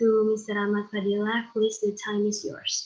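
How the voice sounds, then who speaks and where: Her voice fairly high-pitched, a woman speaks at a fairly slow pace. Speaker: event moderator. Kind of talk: formal introduction.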